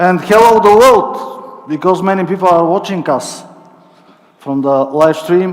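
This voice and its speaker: With a Bulgarian accent, a man speaks high and fairly slowly with lively intonation, amid audible room echo and noticeable background noise. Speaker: company network coordinator. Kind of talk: corporate presentation. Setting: stage with audience, livestream.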